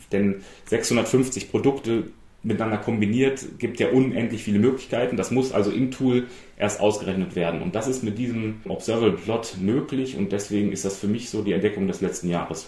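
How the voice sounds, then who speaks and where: A man's somewhat breathy, dark, mellow voice at medium pitch, moderate pace and ordinary pitch variation, with audible room echo. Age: 40s. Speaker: data journalist. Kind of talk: interview.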